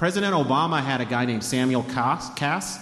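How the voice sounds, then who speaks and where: A man speaks at medium pitch. Audible room echo surrounds his voice. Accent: American. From Denver, Colorado. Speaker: author and food historian. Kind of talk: talk to a live audience.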